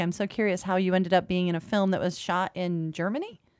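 A woman's unremarkable speaking voice at medium pitch and a fairly quick pace. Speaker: radio show host. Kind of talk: casual interview chat. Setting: studio.

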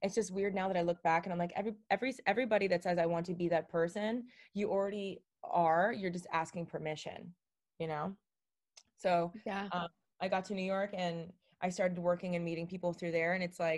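A woman speaks at a fairly quick pace in a plain, everyday voice with an American accent, her medium pitch carried by fairly even intonation. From Miami, Florida. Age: 30s. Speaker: social media creator. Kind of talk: casual interview chat.

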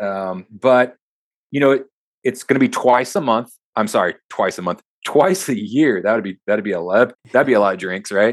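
This is a normal speaking voice with an American accent and ordinary pitch variation. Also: man, medium pitch for a man, moderate pace. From Texas. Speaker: corporate security manager and Marine veteran. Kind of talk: interview. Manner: casual.

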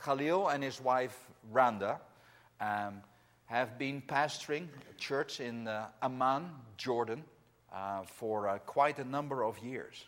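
A man with a Dutch accent talks at a very slow pace with long, frequent pauses, his pitch medium. The recording is very clean, with a silent background. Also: ordinary pitch variation. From Netherlands. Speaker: missionary regional director preaching. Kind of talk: sermon. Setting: church.

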